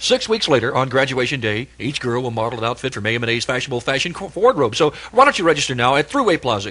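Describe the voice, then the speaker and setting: With an American accent, the speaker talks at a very fast pace with very wide pitch swings, and there is noticeable background noise. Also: man. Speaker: radio DJ. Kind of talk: live radio commercial read. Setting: AM radio broadcast.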